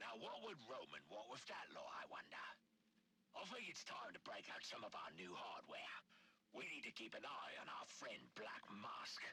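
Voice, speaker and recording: A man in a raspy, put-on character voice speaks at a moderate pace with very even loudness over clear background noise. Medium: video game. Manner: smooth, controlled.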